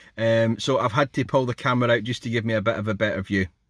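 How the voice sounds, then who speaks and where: A man speaks in a dry, close sound with no echo. The recording is very clean, with a silent background. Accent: Scottish. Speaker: YouTube product reviewer. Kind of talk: product review tutorial. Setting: outdoors then inside a car. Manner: casual, chatty.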